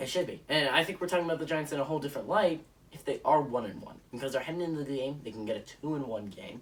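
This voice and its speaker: Fairly high-pitched man with an animated tone, ordinary pitch variation and a very fast pace, over noticeable background noise. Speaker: sports YouTuber. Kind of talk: solo sports predictions monologue.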